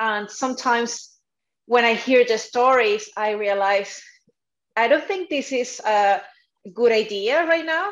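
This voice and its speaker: A woman with a Spanish accent speaks fairly slowly, with long, frequent pauses. Her fairly high voice has lively intonation against a quiet background. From South America. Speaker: dietitian. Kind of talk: podcast interview. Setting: video call. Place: home room.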